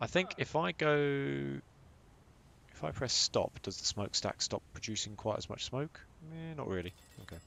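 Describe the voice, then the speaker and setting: With a British accent, the speaker keeps a moderate pace broken by long, frequent pauses. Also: man. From Britain. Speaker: gamer. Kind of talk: casual chat.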